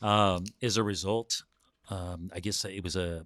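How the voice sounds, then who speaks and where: A man's fairly even intonation, the sound dry and close with no echo, in a very clean recording with a silent background. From US, Southern California (born in Mexico). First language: Spanish. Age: 50s. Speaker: businessman and builder, former medical worker. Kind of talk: podcast interview. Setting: recorded podcast session. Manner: hesitant, many fillers.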